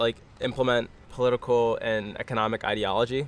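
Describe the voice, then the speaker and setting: It is a plain, everyday voice, delivered with fairly even intonation. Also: man. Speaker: runner and podcast co-host. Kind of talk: casual chat.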